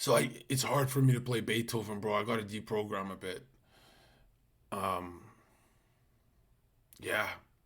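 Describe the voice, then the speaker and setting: A man talks at a moderate pace with a fairly low pitch and fairly even intonation, leaving long, frequent pauses. Room echo is audible. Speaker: live streamer. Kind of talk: casual live-stream chat. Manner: speaking in a lower voice.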